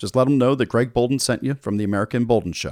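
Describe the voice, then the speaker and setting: At a very fast pace, a man with vocal fry talks at a medium pitch, recorded very cleanly with a dry, close sound, no echo and a silent background. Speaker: podcast host. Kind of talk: sales pitch. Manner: upbeat, salesy, persuasive; enthusiastic, direct-address.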